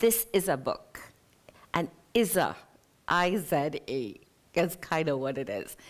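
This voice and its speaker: Very slow female speech, fairly low in pitch, with lively intonation. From South London, Trinidadian parents. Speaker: novelist. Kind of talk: interview at a live literary event. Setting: theatre stage with audience.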